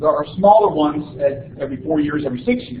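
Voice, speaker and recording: A man with a fairly high pitch makes very wide pitch swings, with noticeable background noise and audible room echo around him. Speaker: university lecturer. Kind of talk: lecture. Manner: many filler words (uh, um).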